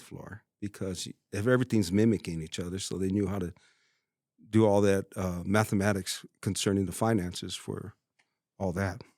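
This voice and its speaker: A man talks at a moderate pace in a normal speaking voice with a fairly low pitch. The recording is very clean and dry, close with no echo, and the background is silent. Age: 50s. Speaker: plumber. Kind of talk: casual interview chat.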